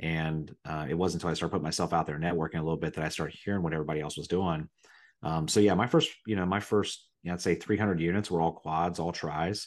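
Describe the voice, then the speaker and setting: A man's very deep, low pitch in a Midwestern American accent, at a very fast pace over a quiet background. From Ohio, Riverside near Dayton. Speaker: real estate investor. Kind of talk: casual chat. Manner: animated.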